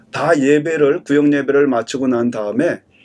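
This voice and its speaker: A man speaks in a normal speaking voice, pitched fairly high and delivered at a moderate pace. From Korea. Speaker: pastor. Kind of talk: sermon. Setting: church service streamed online.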